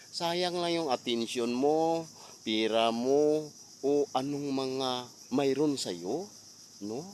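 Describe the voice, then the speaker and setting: The man's voice sits fairly high with ordinary pitch variation. He speaks at a very slow pace with long, frequent pauses. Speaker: vlogger. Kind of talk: storytime vlog rant, preachy moral appeal. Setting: outdoors. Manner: earnest, scolding, hectic, fillers.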